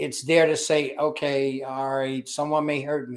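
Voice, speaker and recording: A man with a Chicago accent speaks at a moderate pace in a fairly high pitch and a monotone, flat intonation on a very clean recording with a silent background. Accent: Chicago American English. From US, Chicago. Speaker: business culture consultant and army veteran. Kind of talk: interview.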